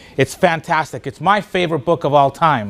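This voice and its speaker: At a moderate pace, a man speaks in an animated tone with a fairly high pitch. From Spanish-speaking country, moved to US as a child. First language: Spanish. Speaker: motivational speaker. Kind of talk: keynote speech.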